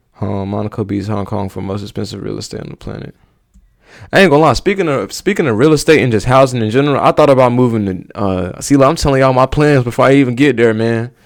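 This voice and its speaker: Speaking very fast at a medium pitch, a man uses lively intonation and big swings in loudness in a very clean recording with a silent background. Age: 20s. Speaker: YouTuber reacting to videos. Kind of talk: casual reaction vlog. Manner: casual, halting with fillers.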